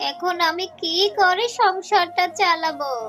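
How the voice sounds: Faint music sits behind a cartoonish character voice with a bright, sharp tone and ordinary pitch variation. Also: fairly slow pace.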